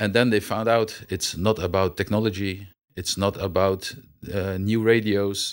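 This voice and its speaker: A man with a Dutch accent, fairly low in pitch, monotone and flat, at a fairly slow pace on a very clean recording with a silent background. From Netherlands. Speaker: military officer. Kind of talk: interview. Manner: halting.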